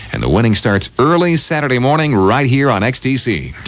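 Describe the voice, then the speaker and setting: A man's pitch swings very widely at a moderate pace, with noticeable background noise around him. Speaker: radio morning show host. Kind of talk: radio DJ morning show patter. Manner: upbeat, friendly, chatty.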